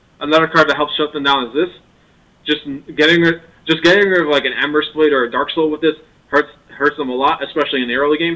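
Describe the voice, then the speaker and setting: At a very fast pace, a man speaks with fairly even intonation. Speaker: card game video creator. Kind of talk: tutorial. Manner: stuttering, halting; casual, filler-heavy.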